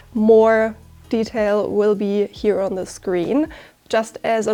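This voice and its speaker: The recording is very clean, with a silent background. A woman with a German accent speaks fairly high, in a dark, mellow tone. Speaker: sewing content creator and author. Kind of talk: self-promotion; sewing tutorial.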